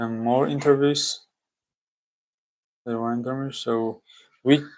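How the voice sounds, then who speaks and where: A man's voice of medium pitch, at a fairly slow pace, with fairly even intonation. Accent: non-native. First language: not English. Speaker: student streamer. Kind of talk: study-with-me livestream, reading aloud and explaining. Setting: live stream with screen share. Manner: casual, halting.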